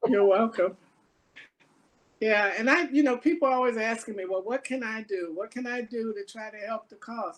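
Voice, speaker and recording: At a moderate pace, a woman talks in a plain, everyday voice with a fairly high pitch and ordinary pitch variation. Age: 60s. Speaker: race equity task force co-chair. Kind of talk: community talk and Q&A.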